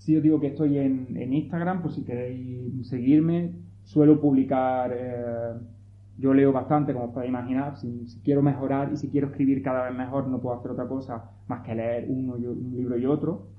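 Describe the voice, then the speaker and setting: Amid audible room echo, a man at medium pitch speaks at a moderate pace. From Andalusia, Pinos Puente (Granada). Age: 30s. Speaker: novelist. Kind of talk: talk to school students.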